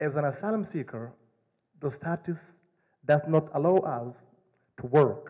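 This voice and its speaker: A man with an African accent and a fairly high pitch speaks at a fairly slow pace in a dark, mellow tone. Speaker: asylum seeker telling his story. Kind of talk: personal storytelling to an audience.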